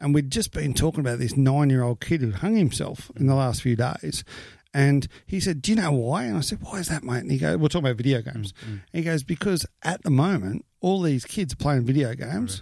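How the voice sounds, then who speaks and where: A man speaks at a fairly quick pace with an Australian accent. His medium-pitched voice is somewhat breathy and swings very widely in pitch. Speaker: podcast host. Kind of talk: casual chat.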